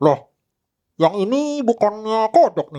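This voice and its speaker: Put-on character voice from a man, high in pitch, at a fairly slow pace. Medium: actual play.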